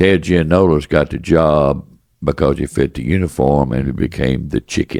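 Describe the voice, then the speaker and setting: A man talks at a moderate pace in a very deep, low voice with vocal fry. His pitch varies in an ordinary way. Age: 80s+. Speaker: businessman, former baseball executive. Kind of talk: interview answer.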